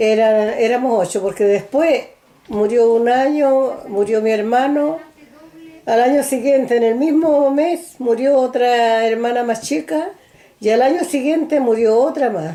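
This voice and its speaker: A woman speaks in a high pitch at a fairly slow pace. Her loudness stays very even throughout. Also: ordinary pitch variation. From rural central Chile (San Clemente, Maule). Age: 80s+. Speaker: elderly interviewee recounting life story. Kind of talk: oral history interview. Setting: recorded interview on video camera.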